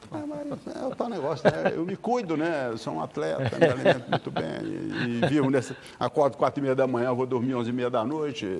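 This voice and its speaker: A man speaks fairly quickly, hardly pausing, while noticeable noise sits behind him. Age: 70s. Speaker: lawyer and elderly rights advocate. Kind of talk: TV interview. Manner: repetitive stammering starts.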